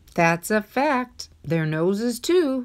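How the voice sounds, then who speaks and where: A female-sounding voice puts on a character, pitched fairly high. Its pitch swings very widely. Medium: read story. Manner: gallant, warm.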